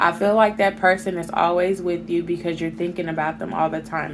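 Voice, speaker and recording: Against noticeable background noise, a woman talks at a fairly low pitch. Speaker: tarot reader. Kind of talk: tarot reading to camera. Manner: slow.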